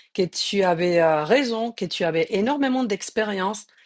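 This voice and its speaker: Lively intonation at a moderate pace, with a dry, close sound with no echo and a quiet background. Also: woman. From Spain. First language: Spanish (speaking French). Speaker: journalist, live interview host. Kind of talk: live interview.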